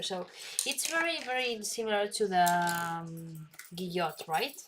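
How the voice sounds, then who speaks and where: In a Spanish accent, a woman speaks at a fairly slow pace. Her voice sits at medium pitch with ordinary pitch variation. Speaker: calligraphy instructor. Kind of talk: live stream tutorial. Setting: live stream. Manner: halting.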